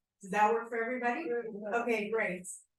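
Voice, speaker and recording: Amid audible room echo, a woman speaks very fast with a fairly high pitch. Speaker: journalist and interviewer. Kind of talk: live interview in front of audience. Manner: loud.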